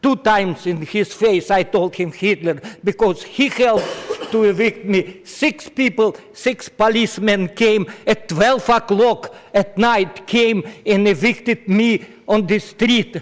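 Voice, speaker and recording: Noticeable background noise sits behind a man speaking fairly slowly at a high pitch, his loudness very even. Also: ordinary pitch variation. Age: 80s+. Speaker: public commenter, evicted resident. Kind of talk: public comment at government meeting. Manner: agitated, emotional.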